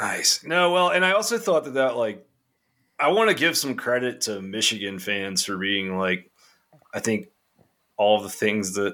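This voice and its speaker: Bright and sharp in tone, a man speaks at a medium pitch with very wide pitch swings and a moderate pace. Long, frequent pauses break up his speech, and the recording is very clean, with a silent background. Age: 30s. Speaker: college football podcaster. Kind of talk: casual chat.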